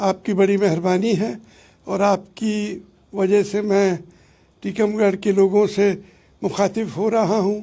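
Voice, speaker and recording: A man speaks with high pitch and a dark, mellow tone, his intonation monotone and flat. The recording is very clean with a silent background. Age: 70s. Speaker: former royal family head. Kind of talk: interview. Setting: Facebook live interview.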